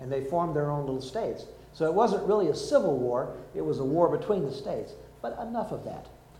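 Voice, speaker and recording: A man's voice at a moderate pace, with very wide swings in pitch. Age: 60s. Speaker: pastor. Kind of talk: sermon.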